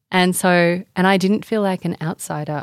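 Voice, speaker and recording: In an Australian accent, the speaker talks at a moderate pace with fairly even intonation, on a very clean recording with a silent background and a dry, close sound with no echo. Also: woman. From Indonesia and Australia. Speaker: author and sustainability advocate. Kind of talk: interview conversation.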